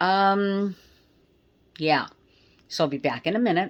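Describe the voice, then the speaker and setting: The background is silent on this very clean recording. A woman does the talking. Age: 60s. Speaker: herbalist / skincare maker. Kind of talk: tutorial. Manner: casual, chatty.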